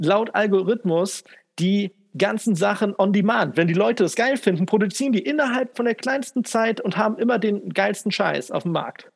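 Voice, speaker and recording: High-pitched male voice at a moderate pace, with ordinary pitch variation and a quiet background. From Asia. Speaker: podcast co-host. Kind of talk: casual chat.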